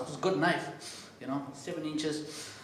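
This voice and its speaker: A man speaks with a South African accent and fairly even intonation. Audible room echo and noticeable background noise are present. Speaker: comedian and MC. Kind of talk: stand-up. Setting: stage with audience.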